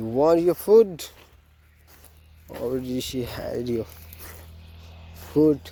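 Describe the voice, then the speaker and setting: A man's medium-pitched voice at a very slow pace, with very wide pitch swings and long, frequent pauses. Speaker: farmer vlogger. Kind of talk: casual vlog narration. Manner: halting.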